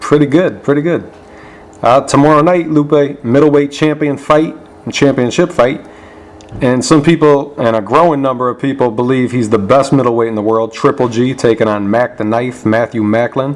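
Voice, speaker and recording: A man at medium pitch and a moderate pace, with ordinary pitch variation and noticeable background noise. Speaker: boxing interviewer, channel host. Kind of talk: interview questions.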